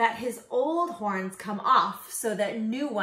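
Lively intonation colors an unforced reading voice.

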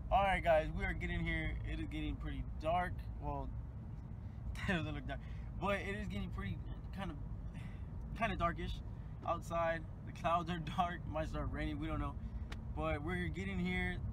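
At a moderate pace with long, frequent pauses, a man talks in a dry sound with no echo over noticeable background noise. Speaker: vlogger. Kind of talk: casual vlog chat. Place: car. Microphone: phone near.

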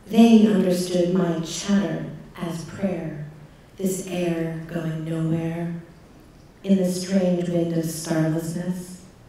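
Against strong room echo, a woman speaks at a very slow pace. Her fairly low voice has monotone, flat intonation. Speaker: poet. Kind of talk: poetry reading of a prayer, contemplative spoken word. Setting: stage with audience. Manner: measured, meditative, reflective. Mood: contemplative, measured. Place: stage.

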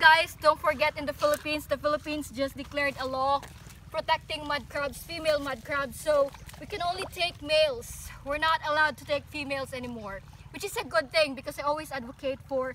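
A woman's raised, projected voice at a fairly quick pace, with ordinary pitch variation, dry sound with no echo, and light background noise. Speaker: outdoor fishing vlogger. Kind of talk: casual vlog explanation. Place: waterside.

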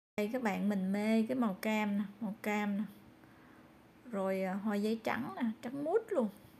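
Somewhat breathy, a woman with a Southern Vietnamese accent speaks at a fairly slow pace against light background noise. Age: old. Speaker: vlogger; garden vlogger. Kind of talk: casual vlog narration. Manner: animated. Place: garden. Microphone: phone near.

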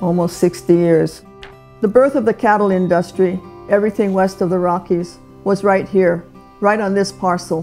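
A woman speaks at a medium pitch with fairly even intonation over faint background music. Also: moderate pace. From Hawaii. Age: 80s+. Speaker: rancher. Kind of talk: documentary interview answer. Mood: proud, reflective. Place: home room.

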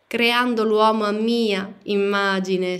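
In a solemn, intense tone, a woman speaks very slowly at a medium pitch with fairly even intonation. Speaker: audiobook narrator. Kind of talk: audiobook reading, dramatic narration. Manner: solemn, slow, declamatory, intense.

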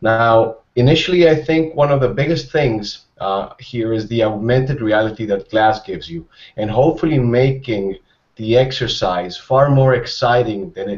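A man with a medium pitch speaks at a moderate pace, somewhat breathy. He has ordinary pitch variation and big swings in loudness. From Mexico. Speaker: cardiology fellow; panelist. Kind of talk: panel discussion. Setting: studio. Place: home room. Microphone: earbuds.

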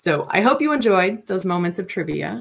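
A woman talks at a moderate pace in a normal speaking voice. Her pitch is fairly low and her intonation lively. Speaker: presenter. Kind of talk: lecture. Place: home room. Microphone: webcam.

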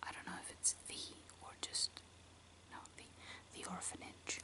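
A woman whispers in a soft-spoken way against noticeable background noise. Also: moderate pace. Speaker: video creator. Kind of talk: soft-spoken listing of favorite films, casual. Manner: soft close ASMR whisper. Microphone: phone near.

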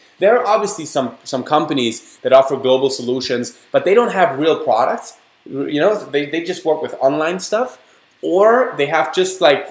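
With a German accent, a man speaks at a moderate pace using lively intonation. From Germany. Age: 30s. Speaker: network marketing distributor. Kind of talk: sales pitch. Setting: online webinar. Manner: animated.

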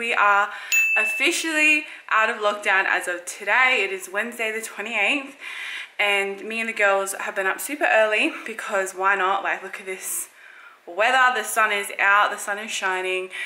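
There is music in the background as a woman speaks at a moderate pace. Her loudness swings widely. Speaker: pregnant vlogger. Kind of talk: casual vlog chat. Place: home room. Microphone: phone near.

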